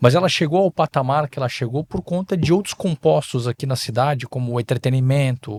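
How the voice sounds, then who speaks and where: At a moderate pace, a man talks at a medium pitch with ordinary pitch variation in a dry, close sound with no echo. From southern Brazil, Balneário Camboriú (Santa Catarina). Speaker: politician and investor. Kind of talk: podcast interview. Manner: halting, with filler hesitations.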